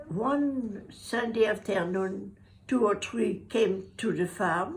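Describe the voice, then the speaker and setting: At a very slow pace, a woman talks with lively intonation, vocal fry and a fairly high pitch. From Brittany, France. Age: 80s+. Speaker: war survivor. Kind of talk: interview answer.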